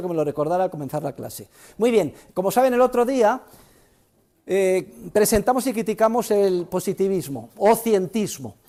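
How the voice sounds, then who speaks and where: At a fairly quick pace, a man with a high pitch and a dark, mellow tone speaks with lively intonation. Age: 60s. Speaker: economics professor. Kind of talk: university lecture. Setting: classroom with students. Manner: animated.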